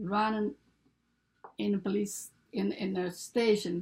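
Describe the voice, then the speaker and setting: A medium-pitched woman's voice with an Italian accent. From Italy. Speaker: grandmother telling life story. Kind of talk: casual storytelling interview. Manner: halting.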